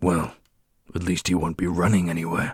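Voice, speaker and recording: A man's put-on character voice, raspy and very deep, with monotone, flat intonation at a moderate pace. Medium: audio drama. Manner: casual, modern slang.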